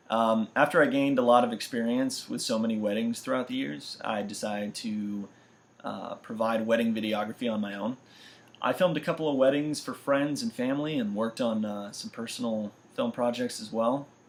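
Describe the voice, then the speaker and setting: A man talks in a plain, everyday voice at a medium pitch, with ordinary pitch variation and a fairly quick pace. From US Midwest and Florida (St. Louis, Missouri, then central Florida from about age 11). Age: 20s. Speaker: university student. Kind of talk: self-introduction video.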